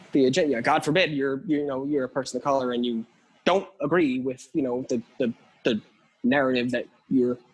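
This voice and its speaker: This man has an ordinary speaking voice with an American accent, a medium pitch, ordinary pitch variation and a fairly quick pace. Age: 20s. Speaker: drummer. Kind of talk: casual chat.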